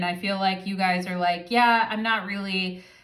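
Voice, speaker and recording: A woman talks at a moderate pace with fairly even intonation. Audible room echo surrounds her voice. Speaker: tarot reader. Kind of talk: tarot reading monologue. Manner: casual, filler-heavy.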